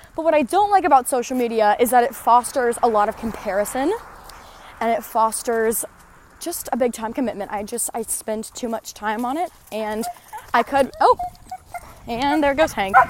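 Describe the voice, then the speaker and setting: A woman with a high pitch and lively intonation at a moderate pace, with long, frequent pauses and noticeable background noise. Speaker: podcast host. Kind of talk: casual monologue while walking. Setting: outdoors, walking. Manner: animated, enthusiastic.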